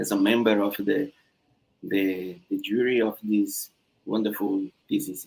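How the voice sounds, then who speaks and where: This man speaks with a Brazilian Portuguese accent. His pitch is fairly low and his intonation fairly even. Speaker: thesis examiner. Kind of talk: thesis defense feedback. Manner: halting.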